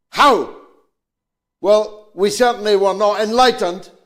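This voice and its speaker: Here a man speaks with a Scottish accent at a fairly slow pace. His voice is high, his intonation fairly even. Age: 70s. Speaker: politician. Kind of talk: public statement.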